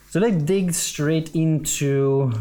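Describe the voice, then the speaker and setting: A man's voice over noticeable background noise. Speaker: podcast host. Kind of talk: interview conversation. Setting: studio.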